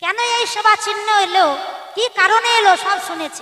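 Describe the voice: The clip is plain reading aloud. The words are simply read out.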